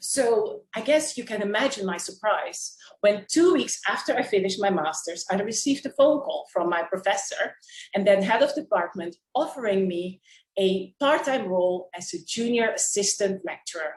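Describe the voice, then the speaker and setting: A woman speaks at a moderate pace with a medium pitch and lively intonation. Her voice is somewhat breathy. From Curaçao. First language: Papiamento. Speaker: public speaking club member. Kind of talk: prepared speech.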